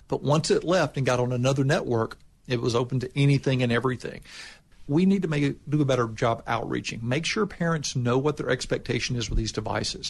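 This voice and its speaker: A man speaks very fast at a medium pitch with ordinary pitch variation. His voice is somewhat breathy over a quiet background. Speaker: state official. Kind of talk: interview answers.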